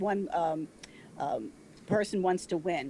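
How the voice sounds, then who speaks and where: With an American accent, a woman talks at a moderate pace. Her tone is dark and mellow, with ordinary pitch variation. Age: 70s. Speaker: public commenter at county meeting. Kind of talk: public comment. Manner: halting, many fillers.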